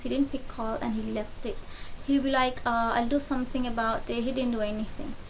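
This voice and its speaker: A woman with a high pitch speaks at a fairly quick pace with fairly even intonation. Audible room echo surrounds her voice. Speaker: beauty vlogger. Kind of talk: storytime monologue while doing makeup. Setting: at home at night. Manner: whispering. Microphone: faulty mic with bad noise.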